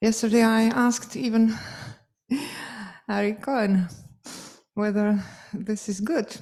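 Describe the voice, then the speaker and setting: Speaking with a Polish accent, a woman has a dark, mellow tone, a somewhat breathy quality and fairly even intonation. She leaves long, frequent pauses, and the room echo is audible. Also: fairly high pitch for a woman, fairly slow pace. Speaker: piano professor. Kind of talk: closing speech. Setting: stage with audience. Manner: halting.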